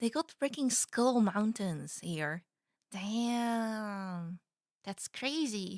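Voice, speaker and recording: A woman speaks at a very slow pace, fairly high in pitch with lively intonation. The recording is very clean with a silent background and a dry, close sound with no echo. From Netherlands. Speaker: vtuber streamer. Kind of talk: reaction stream commentary. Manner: animated.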